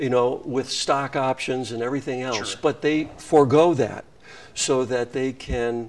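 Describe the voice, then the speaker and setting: Using a normal speaking voice, a man with an American accent talks at medium pitch and a fairly slow pace, his intonation fairly even. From Wisconsin, US Midwest. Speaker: nonprofit CEO. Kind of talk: interview.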